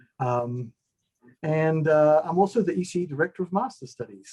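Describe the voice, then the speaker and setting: Speaking with a New Zealand accent, a man has a dark, mellow tone that is somewhat breathy. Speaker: engineering professor. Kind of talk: video-call self-introduction. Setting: online video call.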